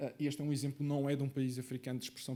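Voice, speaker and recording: A man speaks with a Madeiran accent in a dark, mellow tone. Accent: Madeiran Portuguese, noticeable. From Madeira, Portugal. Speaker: conference speaker, researcher. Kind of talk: conference presentation. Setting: conference stage with live audience. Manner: hesitant, many filler sounds.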